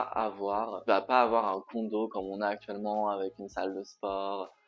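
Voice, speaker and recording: A man speaks at a moderate pace. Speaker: vlogger. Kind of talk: casual vlog talk. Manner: hesitant with many fillers.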